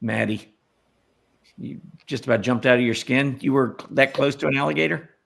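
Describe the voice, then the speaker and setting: At a fairly quick pace, a man with medium pitch and lively intonation speaks with long, frequent pauses. Vocal fry runs through his voice. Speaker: stock market analyst and show host. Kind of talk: casual chat. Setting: live stream with viewer comments. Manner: relaxed, hesitant with many fillers.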